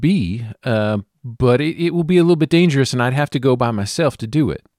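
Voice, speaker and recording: An unremarkable speaking voice with lively intonation moves at a moderate pace in a dry, close recording with no echo, very clean against a silent background. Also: man. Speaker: podcast co-host and player in a tabletop RPG. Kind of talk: casual tabletop roleplaying game session.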